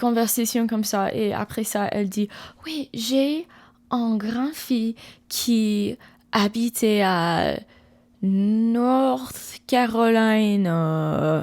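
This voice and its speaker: In a very clean recording with a silent background, a woman speaks at a very slow pace with an English accent. Her pitch is fairly high and her intonation lively. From USA. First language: English (speaking French). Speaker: ASMR creator. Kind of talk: casual storytelling. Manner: halting, many restarts; soft-spoken.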